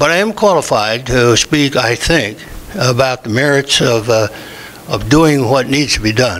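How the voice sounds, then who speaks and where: There is noticeable background noise as a man of medium pitch speaks at a fairly slow pace with ordinary pitch variation. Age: 80s+. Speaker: former state legislator, public commenter. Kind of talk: public comment at city meeting. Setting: city commission meeting.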